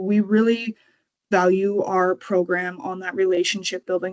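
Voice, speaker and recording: The sound is dry and close, with no echo. A woman with an ordinary speaking voice and medium pitch talks at a moderate pace. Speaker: kinship program coordinator. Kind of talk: presentation.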